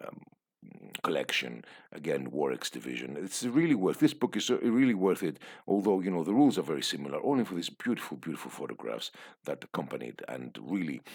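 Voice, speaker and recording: Talking at a very fast pace, a man with a very deep, low pitch and vocal fry makes very wide pitch swings. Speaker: tabletop wargaming youtuber. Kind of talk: book flip-through review. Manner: hesitant, many fillers.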